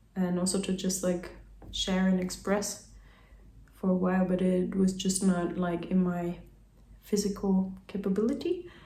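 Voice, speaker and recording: With a German accent, a woman speaks at a fairly slow pace in a dark, mellow, somewhat breathy tone, her intonation monotone and flat, with long, frequent pauses and audible room echo. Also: medium pitch for a woman. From German-speaking country. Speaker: vlogger. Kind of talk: casual monologue. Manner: rambling casual with many fillers.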